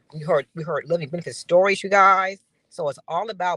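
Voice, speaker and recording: A woman with an unremarkable speaking voice and fairly low pitch moves at a fairly quick pace, recorded with a dry, close sound with no echo. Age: 60s. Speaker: founder of a life insurance campaign. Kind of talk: guest interview on live stream. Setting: live video stream.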